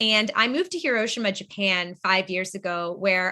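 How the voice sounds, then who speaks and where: A woman with a New England accent speaks in a bright, sharp tone. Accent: American (New England). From Boston, Massachusetts, US. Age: 20s. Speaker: nonprofit founder. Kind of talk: webinar presentation.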